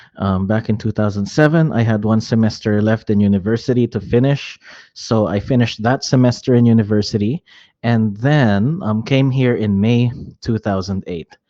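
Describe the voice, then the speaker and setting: A man with a Filipino accent, dark, mellow tone, medium pitch with ordinary variation, moderate pace, and a quiet background. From Metro Manila, Philippines (born Hong Kong). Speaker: real estate and insurance agent. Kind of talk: casual interview.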